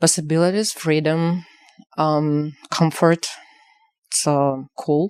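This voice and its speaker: A woman's very deep, low voice with a Ukrainian accent, very slow pace, long and frequent pauses, and fairly even intonation. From Ukraine, village. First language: Ukrainian or Russian. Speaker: activist and exhibition curator. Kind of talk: interview. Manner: halting, many fillers.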